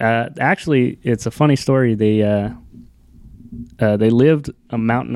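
A man talks fairly quickly at a medium pitch. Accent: American. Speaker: rodeo rider. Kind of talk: casual chat.

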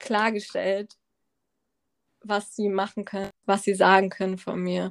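A woman at a medium pitch speaks at a fairly slow pace, with long, frequent pauses. The recording is very clean and dry, close-sounding with no echo and a silent background. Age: 20s. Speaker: medical student and cancer survivor. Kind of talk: personal testimony in casual interview.

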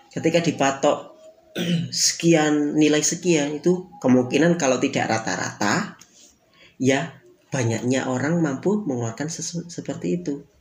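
A man with a fairly high pitch talks at a moderate pace, his pitch varying in an ordinary way amid noticeable background noise. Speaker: podcast host.

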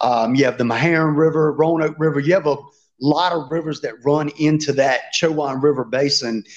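A man with a Southern US accent and a fairly high pitch, set against a quiet background. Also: fairly even intonation. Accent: Southern US, noticeable country drawl. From Virginia. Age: 30s. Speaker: fishing YouTuber and tournament angler. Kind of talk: casual interview chat.

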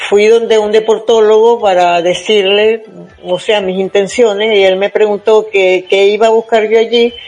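A woman's fairly high, monotone voice with flat intonation at a fairly slow pace, over noticeable background noise. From Venezuela, Zulia state (Maracaibo). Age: 70s. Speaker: senior marathon runner. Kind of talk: interview.

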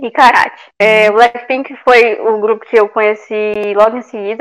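Here a woman speaks at a fairly slow pace. Her pitch sits fairly high, and her intonation stays fairly even. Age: 20s. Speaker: podcast co-host. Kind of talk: casual chat.

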